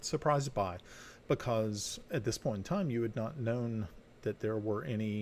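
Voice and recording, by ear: Reading aloud in a natural voice, pitch shifting by ordinary degrees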